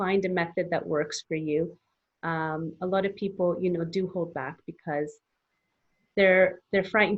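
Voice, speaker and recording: A woman with a Canadian accent talks at a moderate pace in a normal speaking voice, fairly low in pitch, with fairly even intonation. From Canada. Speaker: English teacher, business founder. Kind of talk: interview.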